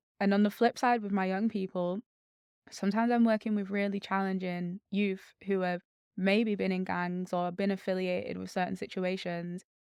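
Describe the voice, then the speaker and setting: The woman speaks with a Mancunian accent at a moderate pace. Her intonation is monotone and flat. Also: medium pitch for a woman. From Manchester, northern England. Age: 20s. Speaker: charity CEO and social entrepreneur. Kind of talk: podcast interview.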